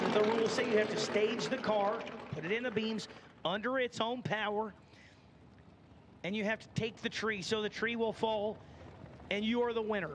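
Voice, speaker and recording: Amid noticeable background noise, a man with a slight Southern US accent talks at a high pitch and a moderate pace, with fairly even intonation and long, frequent pauses. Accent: slight Southern twang. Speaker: drag racing announcer. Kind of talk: live commentary. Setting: announcer tower at drag strip, PA system.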